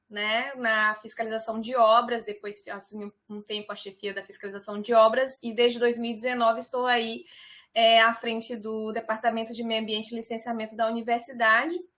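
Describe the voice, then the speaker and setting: A woman with a northeastern Brazilian accent speaks at a fairly high pitch and a fairly quick pace in a bright, sharp tone. Her intonation is monotone and flat, her loudness swings widely, and the background is quiet. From Piauí, northeastern Brazil. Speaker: civil engineer, university environmental department director. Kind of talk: online talk presentation.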